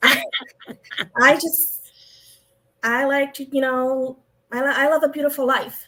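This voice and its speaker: A woman's high, raised, projected voice, bright and sharp in tone, monotone and fairly slow with long, frequent pauses. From Europe. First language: non-English European language. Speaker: former car dealership owner. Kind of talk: interview. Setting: live stream.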